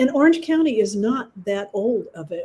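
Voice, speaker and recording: Her dark, mellow voice is somewhat breathy. The woman keeps a moderate pace with lively intonation. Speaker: group discussion participant. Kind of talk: casual chat.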